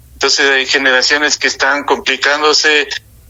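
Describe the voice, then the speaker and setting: A man at fairly high pitch and a moderate pace, against noticeable background noise. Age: 60s. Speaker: political and social analyst. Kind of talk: radio talk show discussion.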